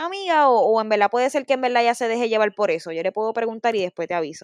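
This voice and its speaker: A woman talks very fast in a Puerto Rican accent, her fairly high voice swinging very widely in pitch. The sound is dry and close with no echo, over a quiet background. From Puerto Rico, Bayamón. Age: 20s. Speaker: singer, former reality show contestant. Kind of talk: casual interview.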